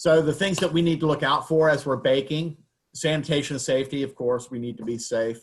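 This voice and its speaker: A man speaks with a Southern US accent and ordinary pitch variation. His voice is somewhat breathy. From US South. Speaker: baking instructor. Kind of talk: lecture. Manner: casual, with many fillers.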